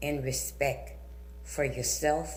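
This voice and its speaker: A woman with an American accent at a very slow pace, with audible room echo and noticeable background noise. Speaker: community speaker at school board meeting. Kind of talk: prepared public comment.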